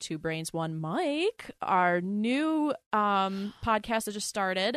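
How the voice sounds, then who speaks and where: A woman's normal speaking voice at medium pitch, with an American accent and lively intonation, in a dry, close sound with no echo against a quiet background. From US Northeast, Philadelphia. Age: 20s. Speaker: podcast co-host. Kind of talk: casual chat.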